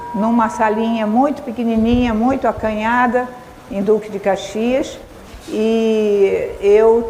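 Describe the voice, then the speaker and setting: The woman's voice sits at a fairly high pitch. There's audible room echo along with noticeable background noise. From Brazil, Rio de Janeiro. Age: 70s. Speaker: speaker, educator. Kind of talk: lecture. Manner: halting, with frequent fillers.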